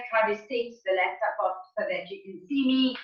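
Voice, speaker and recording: Audible room echo hangs around the voice. A woman is speaking at a moderate pace. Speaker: fitness instructor. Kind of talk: tutorial. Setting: video call.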